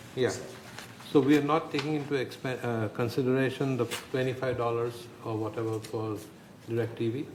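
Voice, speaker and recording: Over noticeable background noise and audible room echo, a man speaks at a moderate pace with long, frequent pauses. His pitch sits in the medium range, and his intonation stays fairly even. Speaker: board director. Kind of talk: board meeting discussion. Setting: boardroom meeting, broadcast.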